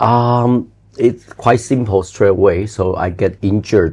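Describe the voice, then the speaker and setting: A man with a non-native accent, fairly low-pitched and somewhat breathy, with ordinary pitch variation and a fairly slow pace. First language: not English. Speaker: building inspector. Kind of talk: interview answer.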